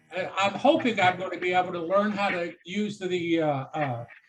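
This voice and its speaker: Music plays in the background. A man talks at a fairly slow pace with ordinary pitch variation. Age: 70s. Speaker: society member asking questions. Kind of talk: casual chat. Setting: Zoom video call.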